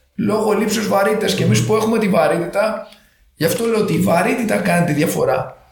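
A man speaks at a fairly quick pace with a high pitch, an animated tone, ordinary pitch variation and very even loudness. Audible room echo surrounds his voice. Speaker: physiotherapist. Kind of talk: casual interview.

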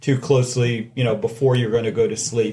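Medium-pitched male voice, somewhat breathy, with monotone, flat intonation. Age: 40s. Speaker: heart surgeon. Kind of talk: interview.

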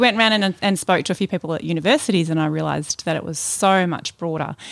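A woman with an Australian accent and fairly low pitch, ordinary in pitch variation, dry and close with no echo on a very clean recording against a silent background. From Melbourne, Australia. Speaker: church member. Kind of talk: interview, personal testimony. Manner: halting.

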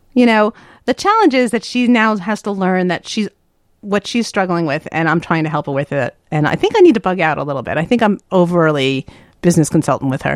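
A woman's unremarkable speaking voice with an American accent, medium pitch, lively intonation and a fairly quick pace, dry and close with no echo, in a very clean recording against a silent background. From New York, US East Coast. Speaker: business consultant and author. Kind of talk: casual interview.

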